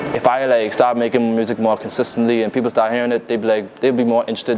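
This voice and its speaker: A man with a Bahamian accent speaks very fast at a medium pitch in a monotone, flat intonation, with noticeable background noise. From Bahamas. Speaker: rapper and fashion designer. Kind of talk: interview. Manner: casual, hesitant with many fillers.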